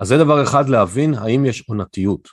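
Over a very clean recording with a silent background, a man uses a plain, everyday voice at a medium pitch with lively intonation. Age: 50s. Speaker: financial advisor. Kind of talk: interview.

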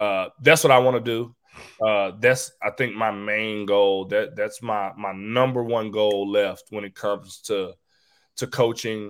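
A man with a plain, everyday voice speaks at a fairly slow pace, his pitch fairly low and his intonation fairly even. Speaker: college basketball assistant coach. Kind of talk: interview. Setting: remote video call.

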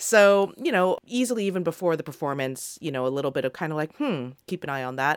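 A woman with a very deep, low voice talks at a very fast pace, with hardly any pauses. Her intonation is lively. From Australia. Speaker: tennis podcast co-host, former player. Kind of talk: casual chat.

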